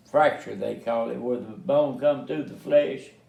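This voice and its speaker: A man's voice carries audible room echo. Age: 80s+. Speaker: family elder telling life story. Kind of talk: casual family interview. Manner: halting, many fillers.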